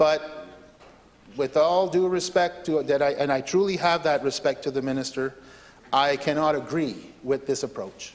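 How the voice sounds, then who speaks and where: A man talks at a moderate pace in a fairly high pitch, his intonation fairly even. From southeastern New Brunswick, Canada. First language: French. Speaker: legislator. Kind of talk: parliamentary debate speech. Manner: hesitant, many fillers and repetitions.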